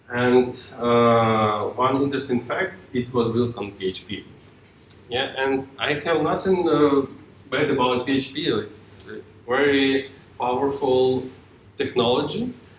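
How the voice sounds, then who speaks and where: Noticeable background noise surrounds a man speaking with a Ukrainian accent. His pitch is medium and his pace fairly slow. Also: ordinary pitch variation. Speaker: software tech lead, conference speaker. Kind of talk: tech talk. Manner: halting.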